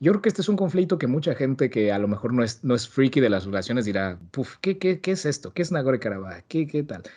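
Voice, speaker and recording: A man with a Mexican accent talks very fast at a medium pitch, with very wide pitch swings. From Mexico. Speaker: podcast host. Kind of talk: casual podcast interview.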